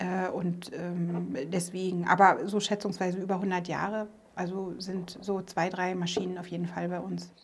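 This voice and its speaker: A woman speaks at a medium pitch and fairly slow pace in a monotone, flat way. Her voice carries audible room echo. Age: 40s. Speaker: business owner, former police officer. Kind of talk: interview. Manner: hesitant, many filler sounds.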